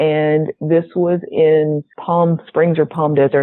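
This woman speaks with a slight Southern US accent. Her pitch is very deep and low. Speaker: pharmacist.

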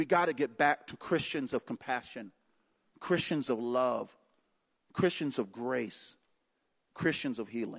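A man's animated, medium-pitched voice with ordinary pitch variation, fairly slow with long, frequent pauses, dry and close with no echo over a quiet background. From North Carolina. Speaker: guest preacher. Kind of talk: sermon.

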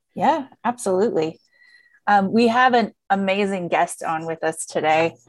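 A woman with an American accent speaks fairly slowly at a medium pitch, with ordinary pitch variation. Hers is an unremarkable speaking voice. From US rural farming community. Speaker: podcast co-host, infection prevention professional. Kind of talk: casual chat.

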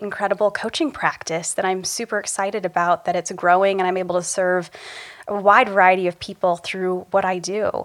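In a plain, everyday voice, a woman speaks at a fairly quick pace with an American accent and medium pitch. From small-town rural Ohio, US Midwest. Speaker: executive coach. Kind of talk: interview conversation.

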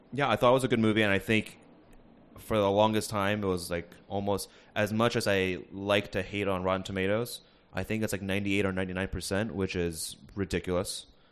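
Against a quiet background, a man with an American accent and an ordinary speaking voice talks at a fairly quick pace with a fairly low pitch. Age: 20s. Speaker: podcast guest. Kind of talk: casual chat. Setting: recorded at a university.

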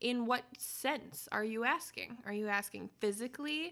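Lively in intonation and animated and playful in tone, a woman speaks fairly slowly with a bright, sharp voice. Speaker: podcast host and parent. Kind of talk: casual family chat. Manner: animated, playful.

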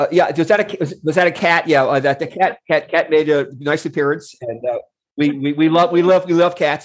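A man speaks at a moderate pace in fairly high pitch, with an unremarkable speaking voice. His intonation stays fairly even. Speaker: podcast co-host. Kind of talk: interview.

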